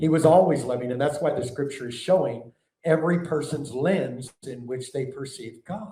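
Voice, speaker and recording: This man's voice sits at a fairly high pitch, with a dark, mellow tone, a somewhat breathy quality, ordinary pitch variation, big swings in loudness and a moderate pace. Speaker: preacher and teacher. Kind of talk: sermon-style teaching.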